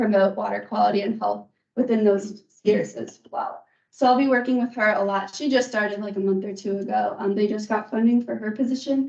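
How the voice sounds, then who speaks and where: Speaking at a moderate pace, a woman has a fairly high pitch, ordinary pitch variation and an unremarkable speaking voice. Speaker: source water protection extension educator. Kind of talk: meeting presentation.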